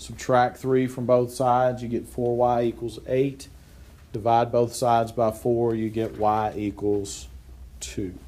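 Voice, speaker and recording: Audible room echo surrounds a man speaking at a fairly slow pace in a medium pitch. His tone is dark and mellow, and his intonation is monotone and flat. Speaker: math teacher. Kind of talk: classroom lecture.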